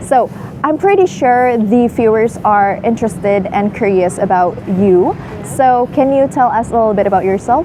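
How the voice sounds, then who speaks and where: The loudness stays very even, with ordinary pitch variation at a moderate pace. There is an Indonesian accent and noticeable background noise. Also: woman, fairly high pitch for a woman. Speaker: student show host. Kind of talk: interview.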